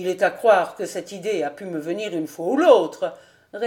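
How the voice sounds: Someone reads in a natural voice.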